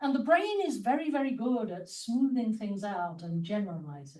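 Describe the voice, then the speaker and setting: A woman's high-pitched voice in a British accent, dark and mellow in tone, with very wide pitch swings and audible room echo. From England, London. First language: Spanish. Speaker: mathematician and academic leader. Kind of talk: conference talk.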